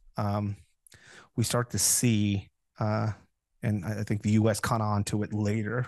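Fairly low male voice, flat and monotone, at a fairly slow pace with long, frequent pauses over a quiet background. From Mexico, Tijuana. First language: Spanish. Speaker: former counter-narcotics officer and security instructor. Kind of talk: interview. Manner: hesitant with many fillers.

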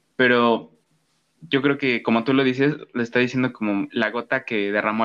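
Against a quiet background, a man talks at a moderate pace in a plain, everyday voice, medium in pitch, with fairly even intonation. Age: young. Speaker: podcast host. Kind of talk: casual chat.

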